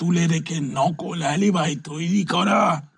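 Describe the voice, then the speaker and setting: A put-on character voice at a very slow pace. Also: man. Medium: read story. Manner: lecturing, stammering with repeated words.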